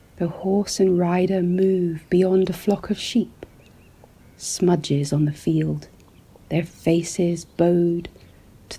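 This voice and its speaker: A soft-spoken voice. The pace is very slow. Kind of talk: ASMR relaxing description of landscape paintings. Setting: studio, close-mic ASMR. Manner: soft-spoken, slow, calming.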